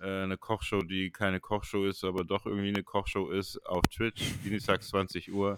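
A man's fairly low, monotone, flat voice at a moderate pace, dry and close with no echo, in a very clean recording with a silent background. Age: 30s. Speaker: artist and streaming show co-host. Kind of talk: casual chat.

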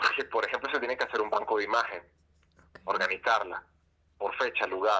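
With long, frequent pauses, a man talks at a fairly quick pace. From Venezuela. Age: 30s. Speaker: social anthropologist and doctoral student. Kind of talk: interview. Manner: halting, many fillers and repetitions.

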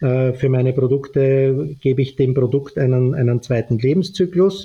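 A man speaks at a medium pitch with a dark, mellow tone and a somewhat breathy quality. His pace is moderate, and he talks in an Austrian accent. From Austria, Vienna. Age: 50s. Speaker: fashion entrepreneur and author. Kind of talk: podcast interview.

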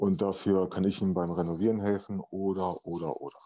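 Speaking at a fairly quick pace, the man sounds monotone. His intonation is flat. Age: 40s. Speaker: podcast guest, father. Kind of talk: casual interview conversation. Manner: hesitant, many filler sounds.

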